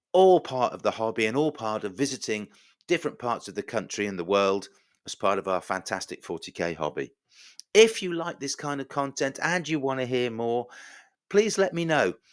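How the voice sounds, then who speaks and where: This man speaks at a moderate pace with an English accent. His pitch sits in the medium range and swings very widely. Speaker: podcast host. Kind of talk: podcast monologue. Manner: quiet and soft.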